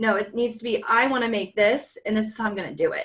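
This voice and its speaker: A woman with a plain, everyday voice talks at a fairly quick pace, her fairly high pitch carried by fairly even intonation. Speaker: teacher and podcast co-host. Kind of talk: casual podcast conversation.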